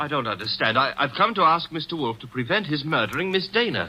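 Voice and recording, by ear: Putting on a character voice, a man talks at a fast pace with a fairly high pitch, big pitch swings and a bright, sharp tone.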